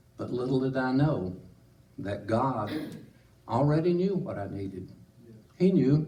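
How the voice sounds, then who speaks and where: In a Southern US accent, the speaker has a dark, mellow, somewhat breathy tone, lively intonation and a moderate pace, with audible room echo. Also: man. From Tennessee. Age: 70s. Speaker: church member. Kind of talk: testimony. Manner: halting.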